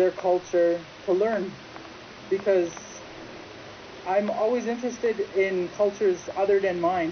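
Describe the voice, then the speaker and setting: A woman with a Great Lakes accent speaks at a medium pitch and fairly slow pace, with long, frequent pauses. Her intonation is fairly even, her loudness very even, and noticeable background noise is present. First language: Ojibwe. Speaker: interviewee. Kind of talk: interview testimony.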